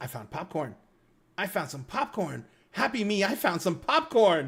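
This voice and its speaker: A croaky put-on character voice sits at middle pitch and moves at a moderate pace. Its pitch swings very widely. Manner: cheerful.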